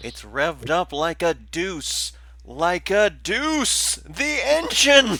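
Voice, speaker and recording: A put-on character voice. It moves at a very slow pace. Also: man. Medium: actual play. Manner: preachy, zealous.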